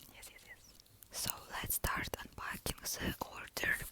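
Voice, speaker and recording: Whispering from a woman amid noticeable background noise. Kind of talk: ASMR mukbang roleplay, soft-spoken chat with a friend. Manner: soft-spoken, whispering.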